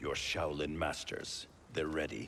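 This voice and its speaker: Clear background noise under a put-on character voice at a moderate pace. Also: man. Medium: video game. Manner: stern, clipped.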